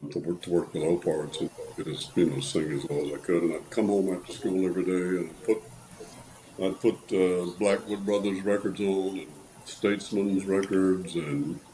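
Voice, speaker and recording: Speaking with an American accent, a man has a very deep, low pitch. His intonation is fairly even and his pace moderate. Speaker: bass singer. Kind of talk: interview.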